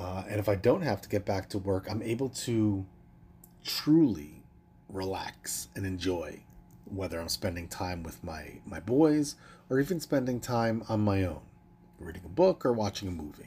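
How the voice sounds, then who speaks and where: A man talks at a moderate pace with lively intonation. His tone is dark and mellow, and somewhat breathy. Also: fairly low pitch for a man, big swings in loudness, very clean recording, silent background. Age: 40s. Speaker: podcast host and wellness coach. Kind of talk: casual solo monologue.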